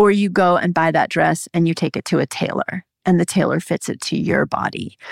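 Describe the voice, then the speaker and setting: In a very clean recording with a silent background and a dry, close sound with no echo, a woman with a fairly low pitch and vocal fry speaks at a fairly quick pace with ordinary pitch variation. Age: 50s. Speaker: physician, midwife and herbalist. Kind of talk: interview on women's health.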